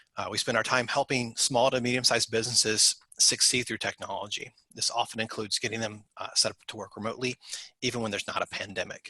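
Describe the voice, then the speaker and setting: A man's bright, sharp voice at a medium pitch, very fast in pace, with a dry, close sound and no echo. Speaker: IT security expert. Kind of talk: webinar presentation. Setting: video call.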